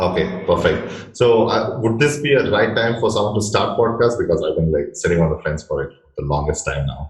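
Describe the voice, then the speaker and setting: A man with an Indian accent, fairly quick and with hardly any pauses. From India, Bangalore. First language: Indian language (not English). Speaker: interviewer, marketing channel host. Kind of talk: interview. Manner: uses fillers like uh.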